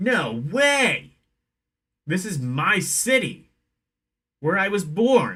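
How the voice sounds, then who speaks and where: In a put-on character voice, a man speaks at a high pitch and a very slow pace, with very wide pitch swings and long, frequent pauses. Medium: game stream.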